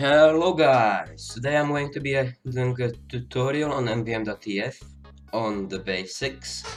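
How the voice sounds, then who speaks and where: With music playing in the background, the speaker goes at a moderate pace with ordinary pitch variation. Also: man, medium pitch for a man. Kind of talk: tutorial voiceover. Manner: stuttering; unscripted, casual.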